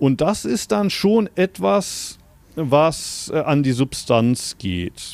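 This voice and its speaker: A man's fairly high voice at a very slow pace, with very wide pitch swings. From Germany (Berlin). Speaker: Zen master. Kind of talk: interview. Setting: remote call.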